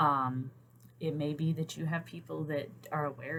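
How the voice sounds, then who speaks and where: A woman speaks with a Southern US accent. Her voice is very deep and low, with fairly even intonation. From US South. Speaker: therapist and writer vlogger. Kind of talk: casual vlog talk. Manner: hesitant, many fillers.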